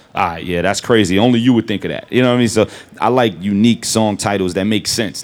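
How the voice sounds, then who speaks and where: Recorded very cleanly against a silent background, a man with a New York accent speaks at a fairly low pitch with ordinary pitch variation. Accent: New York hip hop. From Brooklyn, New York. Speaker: rapper. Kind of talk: live interview on stage. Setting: store stage with audience.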